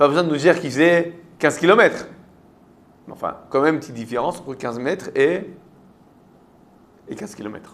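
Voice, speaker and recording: With a French accent and a fairly high pitch, a man talks at a very fast pace, his pitch varying in an ordinary way and his speech broken by long, frequent pauses. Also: big swings in loudness. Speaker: rabbi teaching Torah class. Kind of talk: interactive Torah lesson with students. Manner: conversational, questioning.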